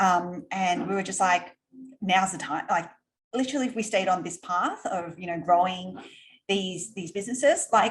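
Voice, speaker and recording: With an Australian accent, a somewhat breathy woman of medium pitch talks at a moderate pace, showing ordinary pitch variation and big swings in loudness. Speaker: entrepreneur. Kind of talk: interview. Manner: casual, filler-heavy.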